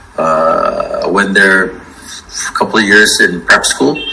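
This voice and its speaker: Over noticeable background noise and audible room echo, a man speaks at a very slow pace. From Egypt, Cairo. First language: French (also Somali, Arabic). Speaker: interior designer. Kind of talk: interview. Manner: halting, many fillers.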